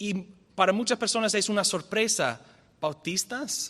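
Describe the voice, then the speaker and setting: Bright and sharp in tone, a high-pitched man with a non-native accent speaks at a fairly slow pace with ordinary pitch variation. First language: not Spanish (speaking Spanish). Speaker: visiting theology lecturer. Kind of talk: lecture. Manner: halting, self-correcting.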